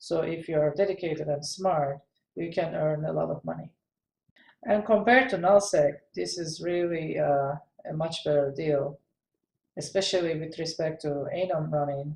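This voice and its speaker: At a moderate pace, the speaker talks with a non-native accent. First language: not English. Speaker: gaming video creator. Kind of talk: tutorial. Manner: hesitant, many fillers.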